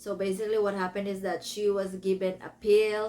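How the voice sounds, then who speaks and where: A woman with a Filipino accent, a medium pitch and monotone, flat intonation. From Philippines. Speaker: book reviewer. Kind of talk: casual book review. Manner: casual, self-correcting.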